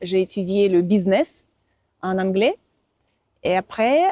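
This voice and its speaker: A woman with a Russian accent and a medium pitch speaks very slowly, the sound dry and close with no echo. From Russia, Moscow. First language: Russian (speaking French). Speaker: interviewee, language teacher. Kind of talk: interview. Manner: halting.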